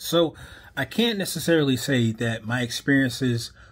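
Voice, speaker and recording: With an American accent, a man talks at a medium pitch in a somewhat breathy voice, on a very clean recording with a silent background. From Wisconsin and Chicago, US Midwest. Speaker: vlogger. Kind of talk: casual monologue. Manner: hesitant, many fillers.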